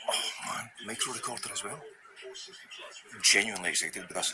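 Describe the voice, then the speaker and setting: A man's voice over noticeable background noise. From Scotland. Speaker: vlogger. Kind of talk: casual vlog talk. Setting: in a thrift store. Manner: natural fast speech, not slowed down.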